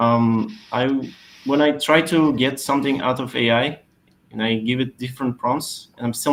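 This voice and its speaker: A man with a non-native accent speaks at a moderate pace. His pitch is medium, with ordinary variation. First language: not English. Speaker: SEO expert. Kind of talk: webinar Q&A answer. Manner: hesitant, many fillers.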